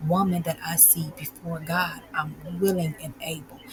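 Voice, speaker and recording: Speaking quietly at a moderate pace, a woman with a fairly low pitch and ordinary pitch variation is heard over noticeable background noise. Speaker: podcast host and life coach. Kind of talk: casual guided reflection monologue.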